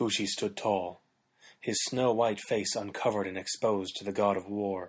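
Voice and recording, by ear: Against a quiet background, someone is reading aloud in a natural voice, the intonation fairly even.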